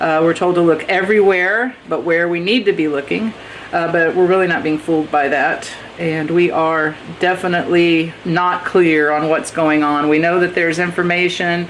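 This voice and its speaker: The speech moves at a moderate pace with fairly even intonation, and there is noticeable background noise. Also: woman, fairly low pitch for a woman. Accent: American. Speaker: tarot reader. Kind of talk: tarot reading monologue. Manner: casual, hesitant with fillers.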